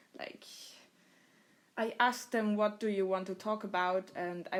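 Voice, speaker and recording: With a German accent, a woman is talking. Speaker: podcast host. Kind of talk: casual chat.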